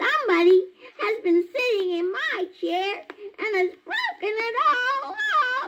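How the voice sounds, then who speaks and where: A put-on character voice speaks at an extremely high pitch and a fairly slow pace. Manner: little wee voice, plaintive.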